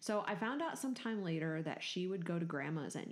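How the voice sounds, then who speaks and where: The woman here has a fairly low-pitched voice. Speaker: podcast co-host. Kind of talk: casual chat. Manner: animated, worked up.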